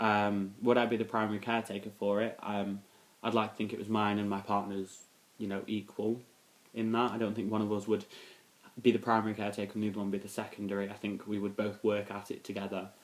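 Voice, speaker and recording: At a very fast pace, a man with a fairly low pitch delivers his words in a monotone, flat intonation. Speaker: vlogger. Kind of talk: casual Q&A vlog. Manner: hesitant, many fillers.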